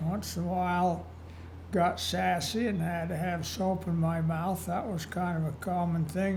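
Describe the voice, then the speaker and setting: A man's high voice in an American accent, fairly slow, with audible room echo. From Utah, US. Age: 80s+. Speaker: elderly interviewee telling life story. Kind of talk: oral history interview. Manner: conversational, some hesitations.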